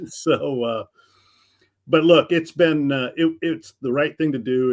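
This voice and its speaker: Here a man talks in a plain, everyday voice. His pitch variation is ordinary. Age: 60s. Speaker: retired sports radio broadcaster. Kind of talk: casual interview.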